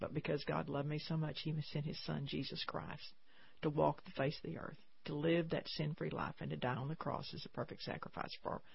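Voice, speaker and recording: The voice carries vocal fry and fairly even intonation at a moderate pace. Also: woman. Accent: Texan. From Texas. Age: 70s. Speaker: pro-life nonprofit founder. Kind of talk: radio interview. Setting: studio.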